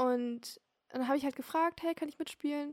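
The intonation is fairly even, and the sound is dry and close with no echo. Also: woman. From Germany, Hamburg. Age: 20s. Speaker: teacher-training student. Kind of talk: interview.

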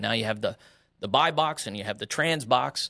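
In a very clean recording with a silent background, a man with an American accent talks at a fairly quick pace in a bright, sharp tone, with vocal fry and ordinary pitch variation. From West Texas and Oklahoma. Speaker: pastor. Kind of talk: interview.

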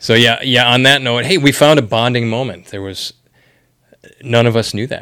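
A man with an American accent talks at a medium pitch and a moderate pace, with ordinary pitch variation. His tone is bright and sharp, with big swings in loudness. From Wisconsin. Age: 40s. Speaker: podcast host. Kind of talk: casual interview. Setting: office.

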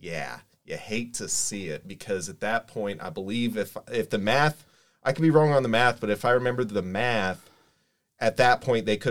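At a moderate pace, a man with an American accent talks in an unremarkable speaking voice. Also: very clean recording, silent background. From Kokomo, Indiana. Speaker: sports fan panelist. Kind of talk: casual chat.

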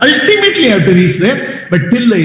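A man's voice comes through. Noticeable noise fills the background. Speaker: spiritual teacher. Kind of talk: spiritual guidance talk.

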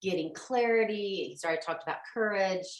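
Speaking with an American accent, a woman uses a medium pitch and ordinary pitch variation. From Oklahoma, US. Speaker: life coach. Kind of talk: casual interview.

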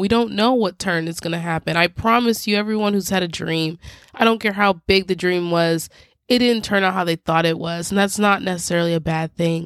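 On a very clean recording with a silent background, a woman speaks in an unremarkable speaking voice at a moderate pace with fairly even intonation. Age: 20s. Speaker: podcast host. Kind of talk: solo advice monologue. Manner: casual, conversational.

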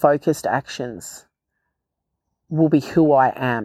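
A woman speaks with a very deep, low voice. The sound is dry and close, with no echo. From Australia, First Nations (Barkindji). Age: 40s. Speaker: podcast host, speaker. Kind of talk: personal reflective monologue. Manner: heartfelt, unscripted.

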